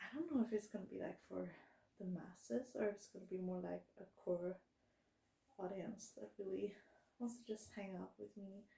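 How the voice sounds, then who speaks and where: This woman mumbles at a fairly slow pace, somewhat breathy. Her tone is dark and mellow. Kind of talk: casual talk to camera. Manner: mumbling, slow-paced.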